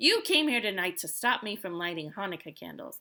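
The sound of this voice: Here we have an unforced reading voice.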